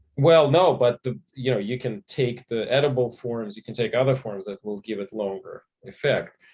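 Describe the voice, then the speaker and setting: A man speaks at a medium pitch and a moderate pace, with hardly any pauses. His voice is somewhat breathy, his pitch varies in an ordinary way, and the sound is dry and close with no echo. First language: not English. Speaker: physician and author. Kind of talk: panel discussion.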